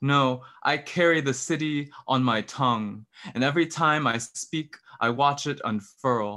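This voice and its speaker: Over a quiet background, a man speaks fairly slowly at a medium pitch, with ordinary pitch variation and a bright, sharp tone. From San Francisco Bay Area. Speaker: poet and PhD student; poet. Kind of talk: poetry reading. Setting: video call. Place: home room. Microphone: studio mic.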